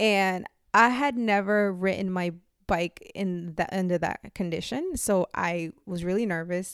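Against a very clean, silent background, a woman with an ordinary speaking voice talks at a medium pitch with fairly even intonation. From Puerto Rico, moved to Lynn, Massachusetts at ten. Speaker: community cycling group founder. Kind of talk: interview.

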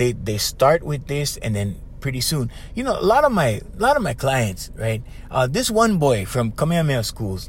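A man talks in a Hawaiian accent at a moderate pace. His tone is animated. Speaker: podcast host and life coach. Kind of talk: casual monologue.

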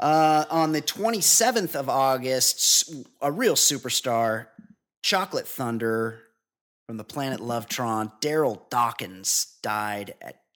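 Using a plain, everyday voice, a man speaks at a fairly slow pace with lively intonation. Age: 40s. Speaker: podcast host. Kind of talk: casual chat. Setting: studio.

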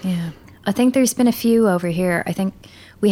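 A woman does the talking. Her accent is American. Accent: Irish, sometimes heard as American. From Ireland. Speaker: dubbing and re-recording mixer. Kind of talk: casual interview.

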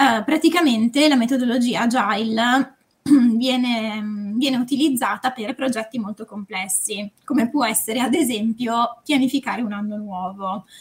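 A plain, everyday voice from a woman, fairly high in pitch, at a moderate pace with ordinary pitch variation. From northern Italy, Varese. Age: 20s. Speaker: consultant and novelist. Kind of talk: casual podcast chat.

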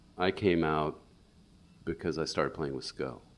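With an American accent and vocal fry, a man speaks at a moderate pace with ordinary pitch variation. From US Midwest, St. Louis. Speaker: guitarist. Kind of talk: casual interview.

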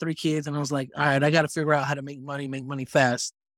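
At a very fast pace, a man with a fairly high pitch talks in fairly even intonation. The recording is very clean with a silent background, and the sound is dry and close with no echo. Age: 30s. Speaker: media company co-founder. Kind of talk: casual chat.

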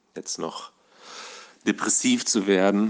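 Over a quiet background, a man speaks fairly slowly. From southern Hesse, Germany. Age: 20s. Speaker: nurse and amateur actor. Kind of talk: casual monologue. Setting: voice memo recording.

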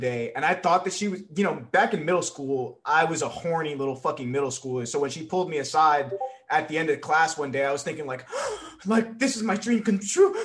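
Over noticeable background noise, a man talks at a fairly quick pace with hardly any pauses, his high pitch moving in lively intonation. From New York City. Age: 20s. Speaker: streamer. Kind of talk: casual chat.

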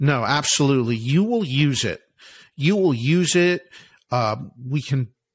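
A man's medium-pitched, ordinary speaking voice with an American accent and ordinary pitch variation, on a very clean recording with a silent background. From US Northeast, Philadelphia. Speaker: author and alternative investments expert. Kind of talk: interview.

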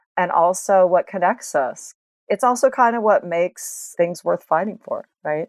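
Dry and close with no echo, a woman with an American accent speaks at a medium pitch with lively intonation. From Washington state. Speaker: punk singer and teacher. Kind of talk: casual interview.

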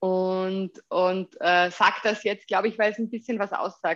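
A woman speaks at a medium pitch and a fairly slow pace. The background is quiet. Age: 30s. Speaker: startup founder and CEO. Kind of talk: interview. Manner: hesitant with many fillers.

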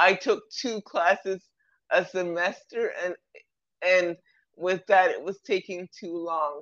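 Recorded dry and close with no echo against a quiet background, a woman at medium pitch speaks with ordinary pitch variation and long, frequent pauses. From Toronto, Canada. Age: 30s. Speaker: filmmaker and author. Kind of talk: casual interview. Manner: halting, repeats words.

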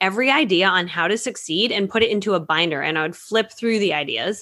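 The speaker has an American accent and a bright, sharp tone. The pace is fairly quick, with ordinary pitch variation. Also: woman. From Connecticut, US. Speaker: network marketing coach. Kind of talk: interview. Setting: video call.

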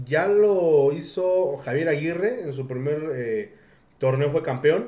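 With audible room echo, a man talks at a very slow pace in a fairly high pitch, using ordinary pitch variation. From Pachuca, Mexico. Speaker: podcast host. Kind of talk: casual chat.

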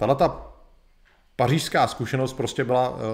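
A man at a fairly slow pace, ordinary pitch variation, very clean recording and silent background. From Czech Republic. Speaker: live streamer, history presenter. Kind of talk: educational lecture. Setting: live video stream.

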